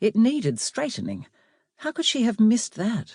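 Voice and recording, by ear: At a moderate pace, the voice has a slightly mellow tone and big pitch swings, recorded very cleanly against a silent background. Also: woman.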